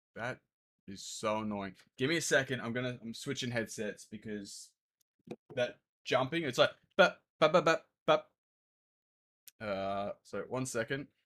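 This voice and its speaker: In a very clean recording with a silent background, a man with an Australian accent and a medium pitch takes long, frequent pauses and makes big swings in loudness. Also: ordinary pitch variation, moderate pace. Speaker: game developer streamer. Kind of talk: live stream casual chat. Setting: home streaming setup with headset. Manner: halting, many fillers.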